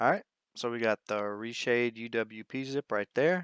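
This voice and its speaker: A man talks at a medium pitch. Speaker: gaming tutorial youtuber. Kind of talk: tutorial. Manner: fast; casual.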